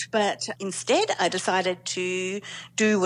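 In a very clean recording with a silent background, a woman talks with an Australian accent. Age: 40s. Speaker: journalist, former lawyer. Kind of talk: personal story interview.

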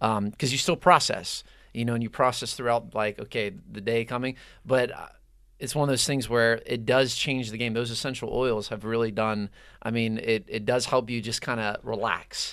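Speaking with an American accent in an unremarkable speaking voice, this speaker keeps a moderate pace and fairly even intonation on a very clean recording with a silent background. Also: man, medium pitch for a man. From Pittsburgh, Pennsylvania. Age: 30s. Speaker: youth nonprofit leader. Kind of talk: casual chat.

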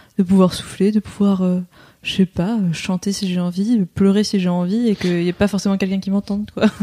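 Dark, mellow tone with monotone, flat intonation, somewhat breathy, in a dry, close sound with no echo. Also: woman. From southern France. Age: 20s. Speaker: stay-at-home mother-to-be. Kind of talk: casual interview. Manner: hesitant.

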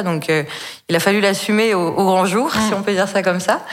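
A woman speaks with fairly even intonation, and audible room echo is present. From Brittany, France. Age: 20s. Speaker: entrepreneur. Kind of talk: personal story in interview. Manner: hesitant with fillers.

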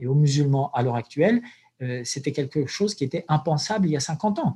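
A man speaks at a moderate pace, his voice fairly high in pitch and somewhat breathy. His tone is dark and mellow against a quiet background. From Algeria. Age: 40s. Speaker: imam and anthropologist. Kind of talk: interview. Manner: halting.

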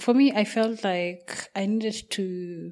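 A woman with a Kenyan accent speaks at a medium pitch. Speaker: podcast host. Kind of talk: casual interview.

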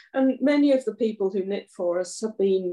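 A woman speaks with a southern English accent in a dark, mellow tone. Her pitch swings very widely. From Surrey, southeast England. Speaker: charity volunteer organiser. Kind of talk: casual interview.

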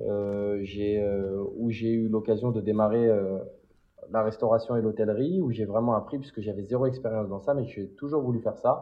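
Male speech at a medium pitch, a moderate pace and ordinary pitch variation. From Paris area, France. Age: 20s. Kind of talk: interview. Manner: animated.

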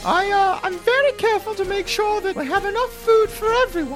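A squeaky, put-on character voice pitched extremely high talks at a fairly quick pace over clear background noise. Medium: actual play.

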